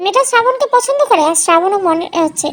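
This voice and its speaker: Using a put-on character voice, a woman speaks at an extremely high pitch with very wide pitch swings and a fairly quick pace. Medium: read story. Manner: snide.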